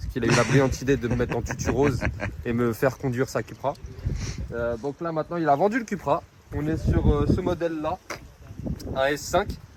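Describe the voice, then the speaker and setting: Amid noticeable background noise, a man speaks very fast in a medium pitch with lively intonation and long, frequent pauses. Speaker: car vlogger. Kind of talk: casual vlog chat. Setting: outdoors. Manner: animated.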